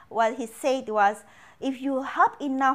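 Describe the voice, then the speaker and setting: A woman speaks with an Indonesian accent at a fairly slow pace. The recording is very clean, with a silent background. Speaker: financial educator. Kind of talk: casual interview. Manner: halting, searching for words.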